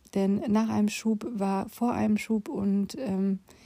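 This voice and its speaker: Her voice has a dark, mellow tone and is somewhat breathy. The woman speaks at a medium pitch with fairly even intonation. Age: 40s. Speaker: podcast host, former nurse and patient advocate. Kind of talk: personal monologue. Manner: casual, with frequent fillers.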